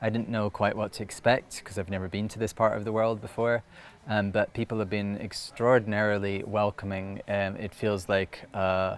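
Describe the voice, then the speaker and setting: The speaker has a Scottish accent and a flat, monotone delivery. The pace is moderate. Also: man, fairly low pitch for a man. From Scotland. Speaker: storyteller. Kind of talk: interview answer. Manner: hesitant, reflective.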